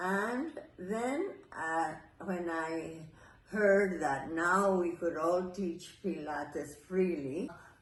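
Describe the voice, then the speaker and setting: With an American accent, a woman speaks at a very slow pace in a fairly low voice, with audible room echo. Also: ordinary pitch variation. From New York City. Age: 80s+. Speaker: Pilates teacher and former ballet dancer. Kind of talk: interview. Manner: halting.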